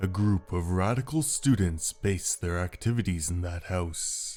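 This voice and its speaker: Over faint background music, a man puts on a character voice with a very deep, low pitch at a moderate pace. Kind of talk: audio drama dialogue.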